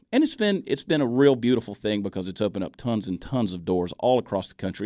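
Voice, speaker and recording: Speech comes at a very fast pace in a dark, mellow tone with ordinary pitch variation. The recording is very clean, with a silent background. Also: man. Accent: American. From US South, Augusta, Georgia. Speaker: social media comedian. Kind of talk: interview.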